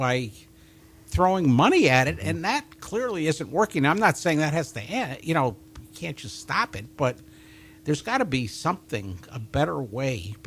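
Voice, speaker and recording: A man with a fairly high pitch and vocal fry talks at a moderate pace, his pitch swinging very widely. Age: 70s. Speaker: county commissioner. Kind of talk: casual chat.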